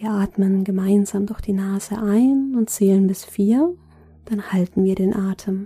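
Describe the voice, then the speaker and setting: Delivered at a fairly slow pace, this is an ordinary speaking voice with fairly even intonation. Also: woman, medium pitch for a woman. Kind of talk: guided meditation. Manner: slow, soft-spoken, calm and soothing with long pauses.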